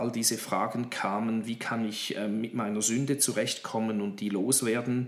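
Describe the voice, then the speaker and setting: A man speaks at a moderate pace and medium pitch in a monotone, flat intonation. Noticeable background noise sits behind him. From Horn of Africa (Djibouti), Swiss missionary family. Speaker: pastor and theology lecturer. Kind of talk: interview. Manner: hesitant with fillers.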